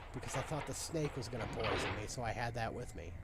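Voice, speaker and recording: A man speaks with music in the background. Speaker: gaming video creator. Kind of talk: let's play commentary.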